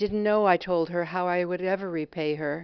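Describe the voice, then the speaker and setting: Fairly even intonation marks this woman's voice, which has an American accent. She speaks at a moderate pace. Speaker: memoir essayist. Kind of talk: personal essay reading.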